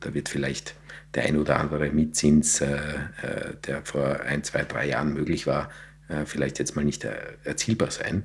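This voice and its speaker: A man speaks at a fairly slow pace. His very deep, low voice stays monotone and flat. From Austria, south of Vienna. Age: 40s. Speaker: real estate executive. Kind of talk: podcast interview. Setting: studio.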